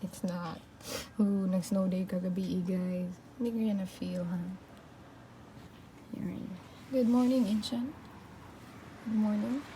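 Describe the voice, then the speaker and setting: A woman speaks at a fairly slow pace with long, frequent pauses. There is noticeable background noise and audible room echo. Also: medium pitch for a woman, ordinary pitch variation. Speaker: vlogger. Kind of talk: casual vlog room tour.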